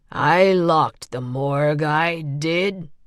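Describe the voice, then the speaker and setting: A woman puts on a raspy character voice with a very deep, low pitch. She speaks at a very slow pace with fairly even intonation. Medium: read story. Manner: careful and slow.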